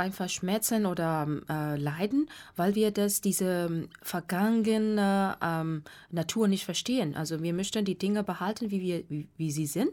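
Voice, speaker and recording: A woman speaks in a Burmese accent with a dark, mellow tone at medium pitch. Her pace is fairly slow, with ordinary pitch variation. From Myanmar. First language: Burmese (speaking German). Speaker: meditation teacher. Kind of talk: radio interview. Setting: radio studio. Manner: halting.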